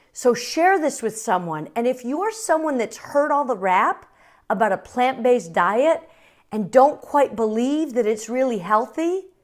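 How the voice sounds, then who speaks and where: With a high voice that swings very widely in pitch, a woman speaks at a fairly slow pace. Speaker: cooking channel host. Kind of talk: cooking tutorial. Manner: animated.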